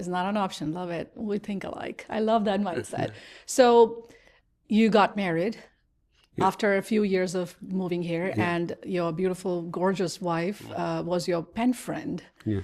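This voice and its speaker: At a fairly slow pace, a woman speaks in a normal speaking voice of medium pitch with ordinary pitch variation. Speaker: podcast host. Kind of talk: interview question.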